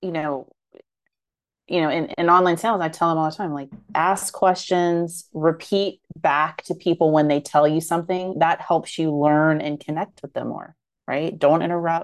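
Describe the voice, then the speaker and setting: Against a quiet background, a woman with an unremarkable speaking voice talks at a moderate pace with fairly even intonation. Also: fairly low pitch for a woman. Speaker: marketing podcast co-host. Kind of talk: casual banter.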